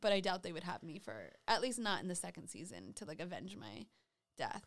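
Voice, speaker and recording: A woman speaks at a fairly quick pace with vocal fry. Her intonation is lively. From Rhode Island. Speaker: podcast co-host, reality show contestant. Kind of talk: casual chat.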